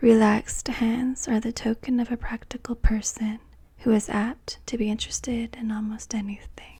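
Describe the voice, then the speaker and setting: Soft-spoken, a woman with a fairly high pitch speaks at a fairly slow pace. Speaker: palm reader. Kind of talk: ASMR palmistry lesson.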